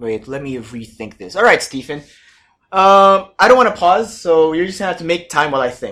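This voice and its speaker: In a very clean recording with a silent background, a high-pitched man talks at a fairly quick pace in an animated tone. His pitch swings very widely and his loudness shifts a lot. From Philippines. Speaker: podcast host. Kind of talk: casual chat.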